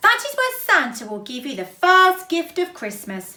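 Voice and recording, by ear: A woman uses a put-on character voice at an extremely high pitch, with very wide pitch swings and a bright, sharp tone. Audible room echo surrounds her. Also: moderate pace.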